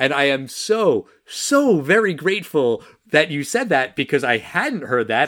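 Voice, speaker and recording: At a moderate pace, a man talks in an animated tone with lively intonation. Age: 40s. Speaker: podcast co-host. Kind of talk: casual chat.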